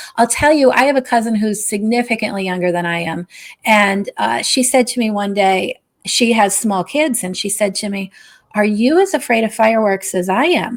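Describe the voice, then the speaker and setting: A woman with an American accent has an ordinary speaking voice, fairly high in pitch with ordinary pitch variation, in a very clean recording with a silent background. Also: moderate pace. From Scranton, Pennsylvania, US. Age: 60s. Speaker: novelist. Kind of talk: interview.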